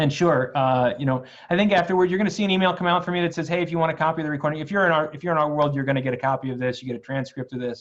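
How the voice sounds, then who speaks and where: A man's words come very fast, his pitch varying in an ordinary way. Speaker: law firm business coach. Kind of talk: live webinar Q&A. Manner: filler-heavy, repetitive starts.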